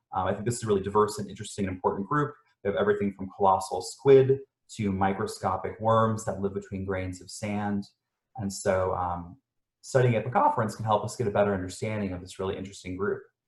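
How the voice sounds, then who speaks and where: A man talks at a very fast pace, somewhat breathy, with fairly even intonation. His loudness swings widely. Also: fairly low pitch for a man. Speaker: scientist presenting research. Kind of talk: lecture. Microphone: dodgy sound, internet problems.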